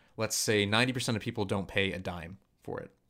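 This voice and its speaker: Here a man talks at a fairly quick pace. His pitch sits fairly low, and his intonation stays fairly even. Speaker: podcast co-host. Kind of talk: casual chat. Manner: fast.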